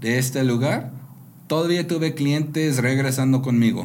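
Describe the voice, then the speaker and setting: A man with an American accent speaks at a fairly high pitch. Room echo is audible around his voice. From US Pacific Northwest (rural Washington state). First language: English (speaking Spanish). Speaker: entrepreneur. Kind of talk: interview. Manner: halting.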